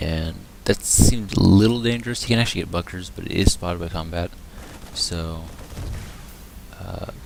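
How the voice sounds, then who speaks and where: The voice is quiet, with ordinary pitch variation. Long pauses come often. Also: man, very deep, low pitch for a man, moderate pace, big swings in loudness. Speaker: game caster. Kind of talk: live commentary. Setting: at home, others sleeping. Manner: casual.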